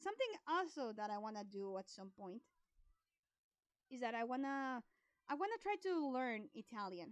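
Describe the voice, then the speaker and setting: A woman with a Spanish accent speaks at a moderate pace in a high pitch. Her pitch swings very widely, with long, frequent pauses. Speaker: art streamer. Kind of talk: casual live stream chat. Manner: halting.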